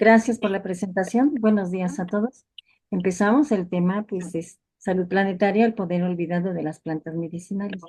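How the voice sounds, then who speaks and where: A woman talks at a moderate pace in a medium pitch with ordinary variation. Her tone is dark and mellow. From Mexico. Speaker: family physician, lecturer. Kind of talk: lecture. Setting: video call webinar.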